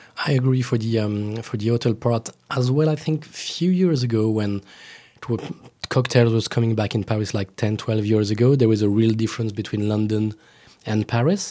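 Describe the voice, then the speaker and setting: In a French accent, a man speaks at a medium pitch and a moderate pace. His tone is dark and mellow. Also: ordinary pitch variation. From France. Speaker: cocktail blogger. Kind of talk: casual chat. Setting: studio.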